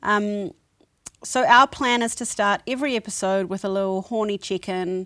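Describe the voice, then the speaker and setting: At a moderate pace, a woman speaks with a bright, sharp tone at a medium pitch, in a dry, close sound with no echo on a very clean recording with a silent background. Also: ordinary pitch variation. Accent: New Zealand. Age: 30s. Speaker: podcast co-host. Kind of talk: casual chat.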